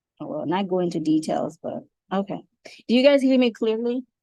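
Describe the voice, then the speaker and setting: A woman's dark, mellow voice at a fairly quick pace, with very wide pitch swings. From Haiti. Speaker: travel agent trainer. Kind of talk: online training tutorial. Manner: fast.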